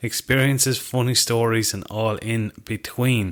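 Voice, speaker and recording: With an Irish accent and fairly even intonation, the speaker is heard on a very clean recording with a silent background. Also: man. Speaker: podcast host, hunting writer. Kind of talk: scripted intro; casual chat.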